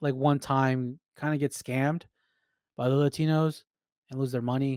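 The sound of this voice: A man's voice comes through dry and close with no echo, clear, smooth and slightly mellow in tone. He speaks at a fairly slow pace with fairly even intonation. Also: medium pitch for a man.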